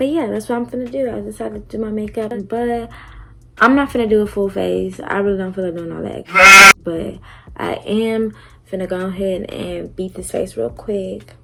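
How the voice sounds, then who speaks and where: Against noticeable background noise, a woman speaks at a moderate pace with big swings in loudness. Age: 20s. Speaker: beauty and storytime vlogger. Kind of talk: casual storytime vlog. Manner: animated.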